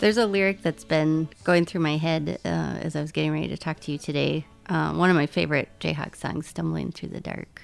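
Music plays in the background while a woman with an American accent talks at a fairly quick pace. She leaves hardly any pauses. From US Midwest. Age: 30s. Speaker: podcast host. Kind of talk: interview. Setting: at home.

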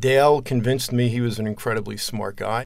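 Using a plain, everyday voice, a man with an American accent talks at a medium pitch and a fairly quick pace. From New Jersey. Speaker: tech entrepreneur. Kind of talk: interview.

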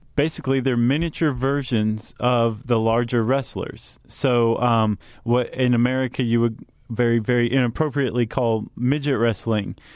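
A man with an unremarkable speaking voice talks at a moderate pace and medium pitch. His intonation is fairly even and his loudness very even. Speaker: podcast host. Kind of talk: casual explanatory chat.

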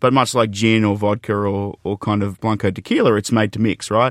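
An Australian accent in a dry, close sound with no echo. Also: man, very clean recording, silent background. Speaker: beverage company executive. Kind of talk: interview. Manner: animated.

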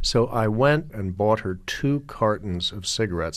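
An ordinary speaking voice at a fairly slow pace, with ordinary pitch variation, in a very clean recording with a silent background. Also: man. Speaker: satirist and novelist. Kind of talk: casual interview. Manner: witty, dry.

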